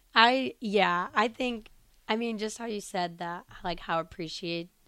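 Recorded very cleanly against a silent background, a woman with an unremarkable speaking voice and an American accent speaks at a fairly slow pace with ordinary pitch variation. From Illinois. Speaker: college volleyball player. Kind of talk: interview. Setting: studio.

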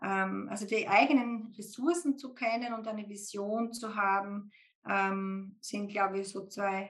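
At a very slow pace, a woman speaks in a somewhat breathy voice at a medium pitch with fairly even intonation. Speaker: IT executive recruiter and podcast guest. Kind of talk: casual interview.

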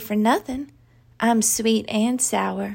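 A woman with a Southern US accent speaks at a fairly high pitch in a very clean recording with a silent background. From Arkansas, US South. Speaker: author reading her own story. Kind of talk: literary audiobook reading of a first-person story.

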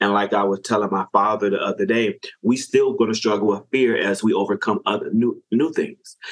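A fairly quick delivery in an American accent, with hardly any pauses. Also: man. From Chicago South Side. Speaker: non-profit strategist. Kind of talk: interview conversation.

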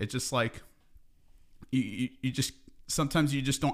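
With an American accent, a man speaks very fast. The recording is very clean and the background silent. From California Central Coast. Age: 20s. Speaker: bodybuilder and gym owner. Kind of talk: interview. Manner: halting, many fillers.

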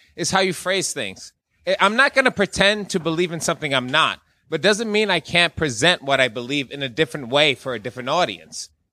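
This man's voice sits fairly high and swings very widely in pitch, with a bright, sharp tone. The recording is very clean, with a silent background. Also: dry, close sound with no echo. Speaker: podcast co-host. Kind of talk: casual chat. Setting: stage with audience.

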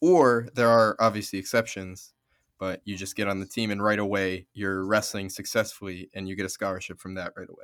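With a plain, everyday voice, a man talks at a fairly quick pace and fairly low pitch, his intonation fairly even but his loudness swinging widely. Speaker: physics student. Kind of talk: casual interview.

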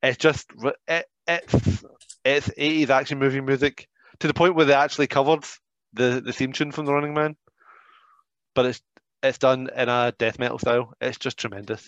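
A man with a Scottish accent speaks at a moderate pace and a fairly high pitch, with fairly even intonation and long, frequent pauses. The sound is dry and close with no echo, and the background is quiet. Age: 40s. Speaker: professional wrestler and trainer. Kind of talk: casual chat.

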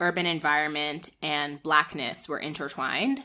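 A woman with a bright, sharp tone is heard in a very clean recording with a silent background. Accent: American. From northern New Jersey, US. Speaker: public health scholar and retreat organizer. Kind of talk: interview.

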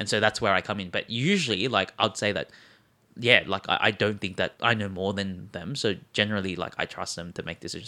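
Against a silent background in a very clean recording, a man with an Australian accent speaks very fast, his fairly low pitch carrying a bright, sharp tone. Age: 20s. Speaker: sneaker marketplace co-founder. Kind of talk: casual interview.

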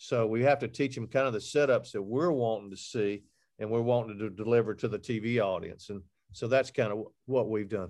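Over a quiet background, a man of medium pitch with an Alabama accent talks at a fairly quick pace with fairly even intonation. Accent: Southern US (Alabama). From Alabama, US South. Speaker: hunting TV host and outdoor media founder. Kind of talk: casual interview chat.

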